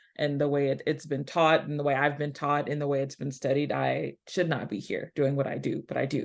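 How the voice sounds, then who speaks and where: Speaking fairly quickly with hardly any pauses, a woman with a Southeast Texas accent has a very deep, low pitch, vocal fry, and monotone, flat intonation. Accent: Southeast Texas accent, clearly noticeable. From US South, rural Southeast Texas. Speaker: historian, academic. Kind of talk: panel presentation.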